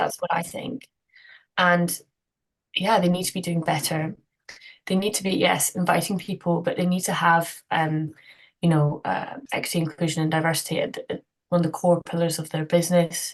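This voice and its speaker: A woman's somewhat breathy, fairly low voice in a Scottish accent, at a moderate pace with fairly even intonation. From Scotland. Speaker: cyclist, inclusion consultant, community activist. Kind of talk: podcast interview answer.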